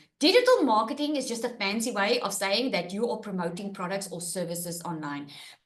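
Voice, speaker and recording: With lively intonation and hardly any pauses, a woman at medium pitch speaks at a fairly quick pace in audible room echo. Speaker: online business coach. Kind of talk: webinar presentation. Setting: live webinar with screen share. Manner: animated.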